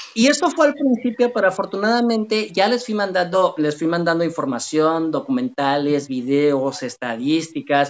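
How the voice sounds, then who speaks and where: A man with a high pitch and very wide pitch swings speaks at a moderate pace with hardly any pauses. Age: 40s. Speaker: software developer and podcaster. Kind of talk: casual interview chat. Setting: home, live stream call.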